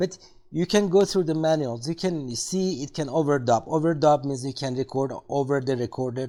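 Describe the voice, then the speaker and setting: A man with a non-native accent talks at a moderate pace and a fairly high pitch. His tone is dark and mellow, with ordinary pitch variation. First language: not English. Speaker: tech video creator. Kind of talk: product review tutorial. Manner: halting, many fillers.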